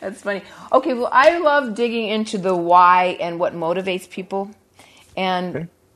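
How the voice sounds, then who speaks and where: A woman talks at a moderate pace and medium pitch in an ordinary speaking voice, with ordinary pitch variation and a quiet background. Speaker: podcast host. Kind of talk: casual interview. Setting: home studio.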